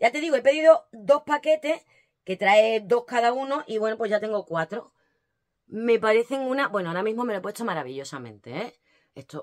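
A woman speaks in an animated tone at a fairly quick pace, with very wide pitch swings and big swings in loudness. The background is quiet. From Spain. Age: 40s. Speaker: lifestyle vlogger. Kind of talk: casual unboxing vlog. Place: home room. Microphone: phone near.

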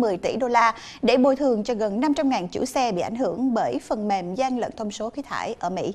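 A woman talks at a fairly quick pace with lively intonation and a fairly high pitch. Her tone is slightly mellow, over faint background noise.

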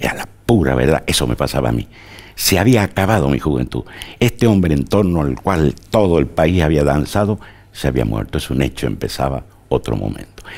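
The voice has vocal fry and a fairly quick pace. Its pitch swings very wide. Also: man, very deep, low pitch for a man. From Argentina, Tucumán; Argentina. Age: 70s. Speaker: journalist and historian; journalist. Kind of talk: interview. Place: studio.

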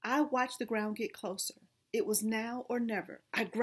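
Intonation stays fairly even throughout the plain reading aloud.

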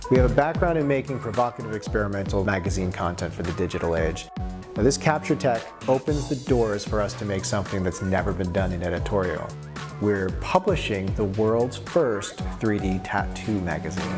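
Over clear music in the background, a man with a fairly low pitch talks at a fairly quick pace. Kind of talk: promotional interview. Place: studio.

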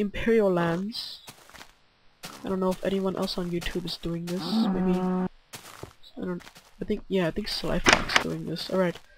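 Long pauses come often as the talker holds a moderate pace against noticeable background noise. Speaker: gaming youtuber. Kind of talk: gameplay commentary.

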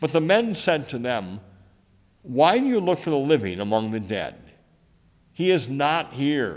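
A man with an American accent at a fairly slow pace, very wide pitch swings, and a quiet background. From United States. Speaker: Lutheran pastor. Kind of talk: scripture reading in worship service. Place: church.

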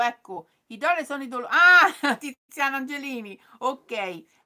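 A woman raises and projects her high-pitched voice, bright and sharp in tone and animated, against a quiet background. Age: 50s. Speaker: sewing youtuber; sewing channel host. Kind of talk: live stream chat. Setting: live stream. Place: home room. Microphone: phone near.

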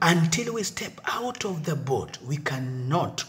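A man's very slow delivery with very wide pitch swings. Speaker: church elder preaching. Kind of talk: sermon. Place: office. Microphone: phone near.

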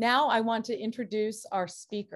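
A woman speaks with a quiet background. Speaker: university faculty member moderating the event. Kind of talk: formal introduction and moderation. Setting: video call. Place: office. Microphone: webcam.

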